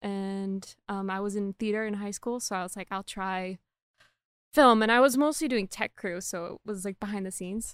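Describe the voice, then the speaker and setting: A woman's ordinary speaking voice at medium pitch, with ordinary pitch variation, big swings in loudness and a moderate pace, in a very clean recording with a silent background and a dry, close sound with no echo. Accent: American. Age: 20s. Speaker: veterinary student, former film editor. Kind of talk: casual chat.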